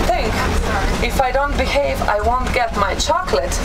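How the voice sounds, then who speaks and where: Loud background noise surrounds a woman speaking at a moderate pace. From Slovenia. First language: Slovene. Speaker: tour guide. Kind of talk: casual talk to a tour group. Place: bus.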